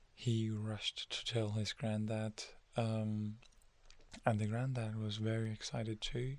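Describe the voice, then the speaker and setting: A soft-spoken man with a calm tone and monotone, flat intonation. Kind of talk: ASMR soft-spoken story narration. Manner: soft-spoken, calm.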